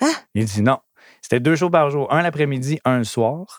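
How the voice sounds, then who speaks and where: The recording is very clean, with a silent background. A man speaks in an animated tone at a moderate pace. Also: dry, close sound with no echo. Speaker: DJ and entertainment entrepreneur. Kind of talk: casual interview.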